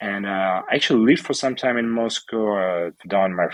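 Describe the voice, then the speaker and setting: With a Russian accent, a man speaks at a fairly low pitch with ordinary pitch variation. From Ukraine, Odessa. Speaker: entrepreneur and charity organizer. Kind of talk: interview. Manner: calm.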